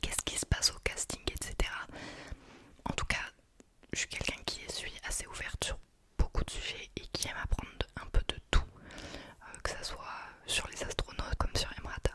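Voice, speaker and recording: A woman whispering at a moderate pace, with long, frequent pauses, big swings in loudness and noticeable background noise. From France. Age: 20s. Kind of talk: ASMR book review talk.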